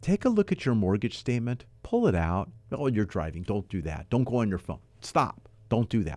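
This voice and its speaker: At a medium pitch, a man delivers his words at a fairly quick pace. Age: 50s. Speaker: radio host and mortgage company CEO. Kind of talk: weekly real estate call-in radio show, host monologue; radio ad pitch urging listeners to phone in, reading out the toll-free number. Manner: upbeat, folksy, talking straight to the listener; brisk, emphatic call-to-action delivery, repeating the phone number.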